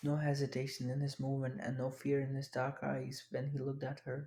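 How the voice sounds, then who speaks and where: Someone with a non-native accent speaks at a fairly quick pace. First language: not English. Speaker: audiobook narrator. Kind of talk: reading aloud.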